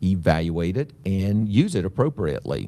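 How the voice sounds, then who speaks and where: A man's very deep, low voice, dark and mellow in tone, with lively intonation. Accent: Oklahoma. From Oklahoma. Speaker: cancer health educator. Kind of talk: educational webinar. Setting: live webinar. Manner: casual, filler-heavy.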